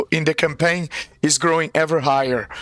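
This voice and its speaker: Over noticeable background noise, a man keeps his intonation fairly even. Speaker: game master. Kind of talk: live-play tabletop narration intro. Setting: live stream. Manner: halting, many fillers.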